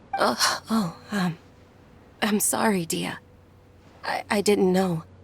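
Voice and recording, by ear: Using a put-on character voice, a woman speaks slowly at a medium pitch with ordinary pitch variation. Her voice has a husky, rough edge and vocal fry.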